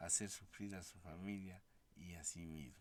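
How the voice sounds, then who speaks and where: In a room with audible echo, a man talks at a fairly slow pace with fairly even intonation. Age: 60s. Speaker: founder of an institution for the blind. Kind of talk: interview. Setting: studio.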